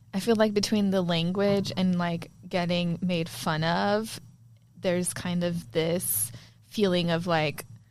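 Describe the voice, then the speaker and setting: A very slow pace with ordinary pitch variation. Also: woman, fairly low pitch for a woman. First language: Spanish. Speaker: podcast co-host. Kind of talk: casual chat.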